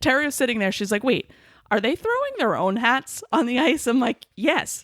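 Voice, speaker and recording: Against a dry, close sound with no echo, a woman with a high pitch talks at a moderate pace in an enthusiastic, animated tone, her intonation lively and her loudness very even. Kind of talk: casual podcast conversation.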